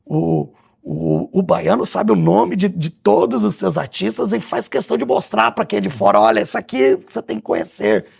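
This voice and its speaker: A man at a fairly low pitch with very wide pitch swings, a moderate pace and hardly any pauses, on a very clean recording with a silent background. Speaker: theatre director and cultural producer. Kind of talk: radio interview.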